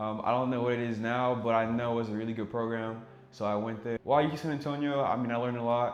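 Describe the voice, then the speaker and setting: At a very fast pace, a man with a French accent speaks at medium pitch, with audible room echo. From Senegal and Ivory Coast. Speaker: cybersecurity engineer, YouTuber. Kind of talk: casual vlog intro.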